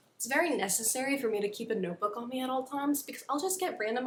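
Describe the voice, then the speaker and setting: A woman with an American accent talks at a very fast pace with lively intonation. Noticeable background noise runs behind her. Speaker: YouTuber. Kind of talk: casual chat.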